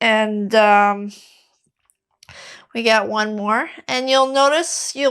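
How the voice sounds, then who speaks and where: Very slow female speech in a French accent with fairly even intonation, in a very clean recording with a silent background. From Quebec. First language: Quebec French. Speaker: fitness coach. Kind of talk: follow-along exercise tutorial. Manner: casual, with many fillers.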